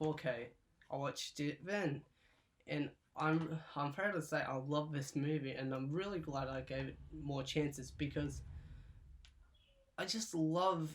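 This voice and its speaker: Mumbling at a fairly slow pace with long, frequent pauses, a man talks in a fairly high voice with ordinary pitch variation. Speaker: YouTuber reviewing his movie collection. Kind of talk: casual vlog talk. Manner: slow and mumbly; stutters, halting.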